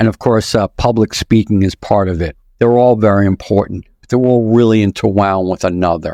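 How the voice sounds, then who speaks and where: Against a quiet background, the voice has a dark, mellow tone and a strong New York accent, moving at a fairly quick pace with fairly even intonation in a dry, close sound with no echo. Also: man, fairly low pitch for a man. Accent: thick New York. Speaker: author, podcast guest.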